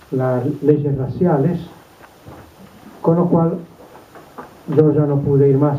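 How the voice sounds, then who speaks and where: A man with a fairly high voice talks very slowly with long, frequent pauses and fairly even intonation, over noticeable background noise and audible room echo. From Serbia (Belgrade, former Yugoslavia). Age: 80s+. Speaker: Holocaust survivor. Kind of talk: testimony talk to students. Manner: hesitant, with fillers.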